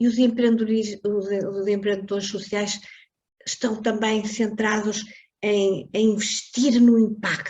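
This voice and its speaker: A woman speaks at a fairly slow pace in a fairly high pitch, her voice somewhat breathy. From northern Portugal, Porto. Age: 70s. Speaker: foundation president. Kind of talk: interview. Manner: animated.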